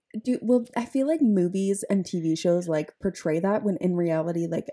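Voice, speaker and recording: A woman with a fairly low pitch. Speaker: podcast host. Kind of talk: casual chat.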